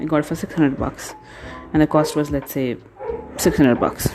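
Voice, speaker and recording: A woman speaks with a non-native accent at a very deep, low pitch. Music plays in the background. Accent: self-conscious non-native. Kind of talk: casual tutorial talk to camera. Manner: hesitant, many pauses.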